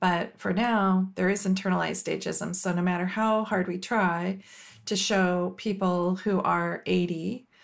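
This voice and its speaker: On a very clean recording with a silent background, a woman with a plain, everyday voice speaks at a medium pitch with fairly even intonation. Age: 50s. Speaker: company executive. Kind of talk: podcast interview.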